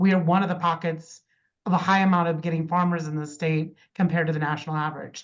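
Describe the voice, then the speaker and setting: A woman speaks at a very fast pace and a fairly low pitch. Her intonation is monotone and flat. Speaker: extension educator / course instructor. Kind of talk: online lecture.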